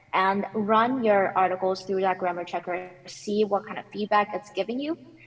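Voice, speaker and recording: A woman speaks at a medium pitch and moderate pace with fairly even intonation. Noticeable background noise runs underneath. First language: not English. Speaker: conference speaker, technical author. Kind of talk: panel Q&A answer. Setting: conference panel.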